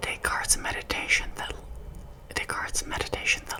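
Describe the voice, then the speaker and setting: A woman whispers over noticeable background noise. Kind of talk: whispered ASMR quiz with casual chat. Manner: whispered, soft-spoken.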